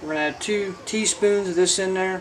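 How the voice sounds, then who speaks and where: A man with a Southern US accent, high-pitched, with fairly even intonation over light background noise. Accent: self-described southern. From Indiana, US Midwest. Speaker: homestead channel host cooking. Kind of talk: cooking tutorial. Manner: casual, folksy. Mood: relaxed, cheerful. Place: kitchen.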